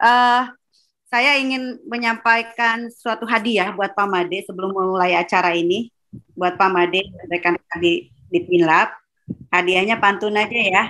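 A woman speaks at a fairly slow pace in a bright, sharp tone. Her pitch varies in an ordinary way over a quiet background. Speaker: moderator. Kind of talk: webinar moderation. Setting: video call. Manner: animated. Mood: cheerful, playful. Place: home room. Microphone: video call.

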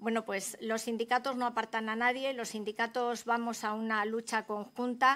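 In a very clean recording with a silent background, a bright, sharp voice speaks at a moderate pace with monotone, flat intonation and hardly any pauses. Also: woman, fairly high pitch for a woman. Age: 50s. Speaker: hotel housekeeper and trade unionist. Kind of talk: parliamentary testimony. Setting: senate committee hearing.

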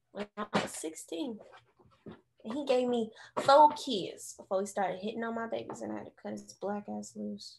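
Big swings in loudness mark the speech of a woman talking at a moderate pace. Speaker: actor performing a monologue. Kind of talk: dramatic character monologue. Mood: bitter, defiant. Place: home room. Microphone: video call.

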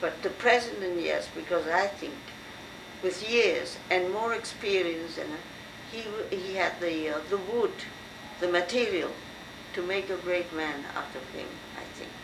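A woman speaks at a medium pitch with ordinary pitch variation over noticeable background noise. She moves at a fairly slow pace with long, frequent pauses. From France. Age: 70s. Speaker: university professor. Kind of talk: oral history interview. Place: home room. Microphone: old recording.

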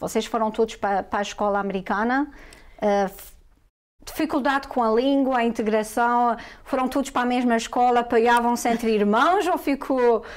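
A woman's high voice with ordinary pitch variation. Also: moderate pace. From Portugal. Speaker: talk show host. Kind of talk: interview. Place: studio.

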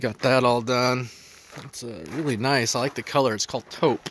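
The speaker is a man. The recording sounds dry, with no echo. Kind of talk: casual walkthrough narration. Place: garden. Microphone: phone near.

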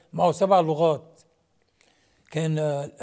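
Against a quiet background, a man with a fairly high pitch and a dark, mellow tone speaks very slowly with fairly even intonation. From Lebanon. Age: 80s. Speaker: comedic actor. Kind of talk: TV interview. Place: studio.

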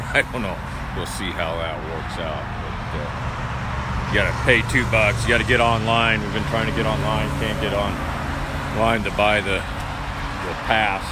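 A man talks at a moderate pace with ordinary pitch variation over loud background noise. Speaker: travel vlogger. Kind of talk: casual vlog chat. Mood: relaxed, mildly amused. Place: open country. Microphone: phone near.

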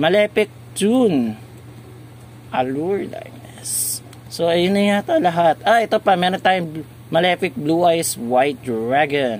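Pitch swings are very wide in this man's fairly high voice. He talks at a fairly slow pace over light background noise. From Philippines. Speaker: YouTuber, card game reviewer; toy channel host. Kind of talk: casual product review video. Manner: halting, with fillers. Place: shop. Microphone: phone near.

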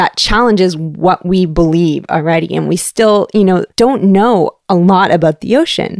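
In a slight Canadian accent, a woman talks at a moderate pace at medium pitch, with ordinary pitch variation and a dry, close sound with no echo. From Canada, Toronto. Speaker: science communicator for an ocean research foundation. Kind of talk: interview.

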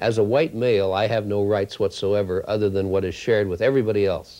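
A man with a fairly low pitch and a slightly mellow tone speaks at a moderate pace, keeping his intonation fairly even.

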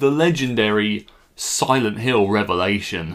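A man speaks against a quiet background. His intonation is lively. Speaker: film reviewer. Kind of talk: casual vlog review. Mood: sarcastic, joking. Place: home room. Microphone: phone near.

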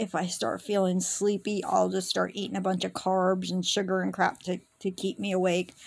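Against a quiet background, the speech moves at a moderate pace. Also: woman. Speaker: vlogger. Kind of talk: casual vlog chat. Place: home room. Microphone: phone near.

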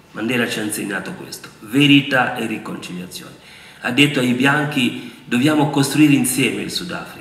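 With audible room echo, a man talks at a moderate pace with ordinary pitch variation and big swings in loudness. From Republic of the Congo. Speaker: university lecturer and former politician; university lecturer, former politician. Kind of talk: public talk. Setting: auditorium with audience. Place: hall. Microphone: podium.

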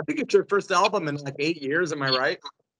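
A man speaks with ordinary pitch variation, and the background is quiet. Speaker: radio host; radio show host interviewer. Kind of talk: interview. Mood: friendly, fan-like. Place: home room. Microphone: video call.

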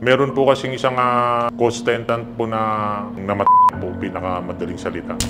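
With music in the background, a man speaks at a moderate pace in fairly even intonation. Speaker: witness. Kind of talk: interview answer. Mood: calm, respectful storytelling. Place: hall.

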